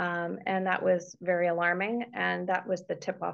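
This speaker has a Canadian accent. It is an unremarkable speaking voice. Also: woman. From Canada, Toronto. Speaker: care partner and author. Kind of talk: interview. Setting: video call.

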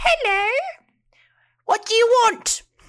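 The voice is pitched extremely high. It is a put-on character voice. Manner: gruff, unwelcoming.

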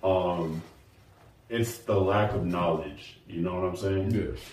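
A man's very deep, low voice, dark and mellow in tone and somewhat breathy, with audible room echo. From Nashville. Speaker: app co-founder. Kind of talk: casual interview.

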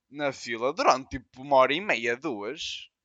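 At a fairly slow pace, a man speaks with a European Portuguese accent. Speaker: podcast co-host. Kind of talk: casual chat.

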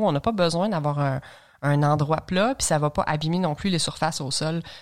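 On a very clean recording with a silent background, a woman with a Quebec accent speaks at a moderate pace in a fairly low pitch, with ordinary pitch variation. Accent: Québécois French. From Quebec, Lanaudière (L'Assomption). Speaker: long-distance hiker. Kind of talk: interview, casual chat.

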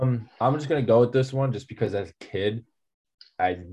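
Dark and mellow in tone and somewhat breathy, a man speaks at a fairly quick pace with ordinary pitch variation. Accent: American. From New Jersey. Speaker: college wrestler. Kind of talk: casual chat.

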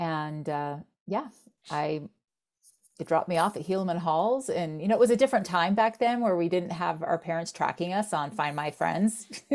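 A woman with an American accent uses a normal speaking voice at a moderate pace, with a fairly low pitch and lively intonation, on a very clean recording with a silent background. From Florida. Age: 50s. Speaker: software company co-founder. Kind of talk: interview.

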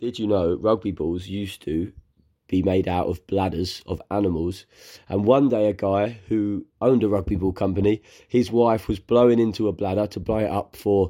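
With a southern English accent, a man speaks at a fairly low pitch and moderate pace, his tone dark and mellow and his intonation fairly even, on a very clean recording with a silent background. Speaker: podcast host. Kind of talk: scripted intro; casual chat.

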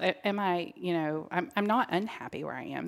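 A woman's normal speaking voice, fairly low in pitch with ordinary pitch variation, at a moderate pace in a very clean recording with a silent background. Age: 40s. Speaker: health professional. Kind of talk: casual chat.

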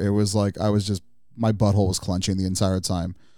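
On a very clean recording with a silent background, a man speaks at a fairly low pitch with a dark, mellow tone. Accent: Californian. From Southern California, Pomona. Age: 30s. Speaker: car enthusiast. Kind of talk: casual chat. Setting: studio.

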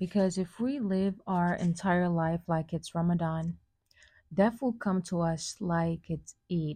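Speech comes at a very slow pace with ordinary pitch variation. The tone is dark and mellow, somewhat breathy. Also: woman, fairly low pitch for a woman. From Senegal. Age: 20s. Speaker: podcast host, college student. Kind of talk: solo monologue, personal reflection. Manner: casual with frequent fillers and restarts.

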